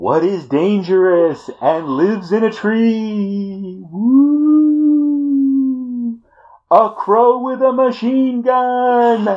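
A man puts on a character voice, speaking very slowly at an extremely high pitch. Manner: spooky.

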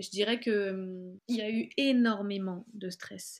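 With a southern French accent, a woman speaks using fairly even intonation. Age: 30s. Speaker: author and graphic designer. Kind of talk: personal testimony interview. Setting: video call.

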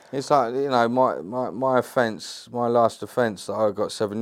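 In a very clean recording with a silent background, a man speaks at a medium pitch and a moderate pace with ordinary pitch variation. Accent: London. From England. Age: 30s. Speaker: actor and ex-prisoner. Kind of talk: casual interview chat.

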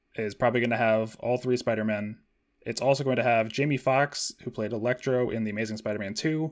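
An ordinary speaking voice from a man, medium in pitch, fairly even in intonation and fairly quick in pace. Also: very clean recording, silent background. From Washington State. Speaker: podcast co-host. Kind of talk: casual chat.

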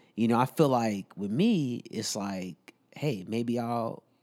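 A man speaks at a fairly slow pace, his pitch medium with ordinary variation. The recording is very clean, with a silent background. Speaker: podcast co-host; military service member. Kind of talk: casual chat. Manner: casual, slangy.

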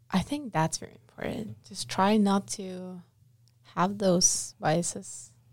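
A woman with a slight non-native accent speaks very slowly in a somewhat breathy voice. Her intonation is lively and her loudness swings widely. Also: medium pitch for a woman. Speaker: podcast co-host. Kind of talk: casual chat.

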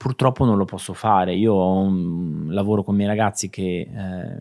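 In a very clean recording with a silent background, a man with an ordinary speaking voice speaks at a moderate pace, using a fairly low pitch and fairly even intonation. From Italy, Marche (Ancona province). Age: 40s. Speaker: creative director and stylist. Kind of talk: interview.

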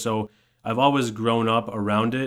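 Here is a man with an ordinary speaking voice. His medium pitch, fairly even intonation and moderate pace hold throughout. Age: 30s. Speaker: financial planner. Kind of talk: casual chat.

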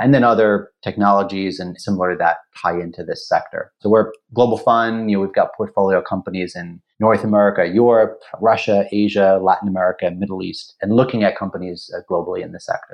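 An ordinary speaking voice moves at a fairly quick pace with fairly even intonation. Its loudness swings widely. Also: man. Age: 40s. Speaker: venture capital investor. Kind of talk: interview.

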